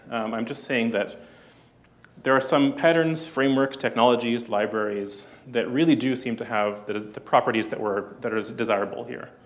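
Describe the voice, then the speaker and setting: Audible room echo around a man's mid-range voice, its pitch varying in an ordinary way. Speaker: conference speaker, software developer. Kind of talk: conference talk. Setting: stage with audience. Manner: fast; hesitant, many fillers.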